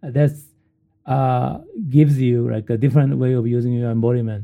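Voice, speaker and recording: At a moderate pace, a man with a Japanese accent speaks with ordinary pitch variation. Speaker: professor. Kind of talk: interview. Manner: halting.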